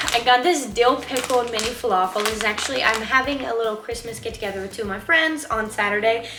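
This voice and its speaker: Noticeable background noise and audible room echo surround the recording. A woman talks at a fairly high pitch with ordinary pitch variation. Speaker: vlogger. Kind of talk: casual vlog haul. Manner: casual, filler-heavy.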